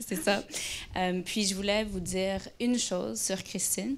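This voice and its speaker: A woman with an English accent speaks at a moderate pace. Her intonation is fairly even. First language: English (speaking French). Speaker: company culture director, interviewer. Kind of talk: onstage interview. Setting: stage with live audience. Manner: halting, many hesitations.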